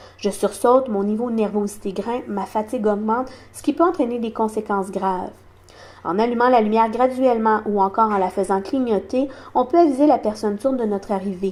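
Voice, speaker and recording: Fairly high female speech, its pitch varying in an ordinary way. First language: sign language (speaking French). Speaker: deaf community advocate. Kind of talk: awareness talk.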